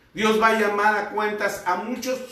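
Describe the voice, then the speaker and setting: Noticeable background noise and audible room echo around a man talking. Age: 60s. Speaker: pastor. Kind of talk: sermon.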